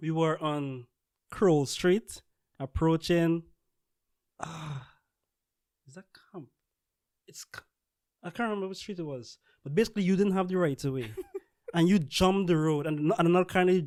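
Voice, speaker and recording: A high-pitched man speaks at a moderate pace in a Guyanese accent, with ordinary pitch variation. Long, frequent pauses and big swings in loudness mark his delivery, and the sound is dry and close with no echo. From Guyana. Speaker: scientist. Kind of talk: casual podcast conversation.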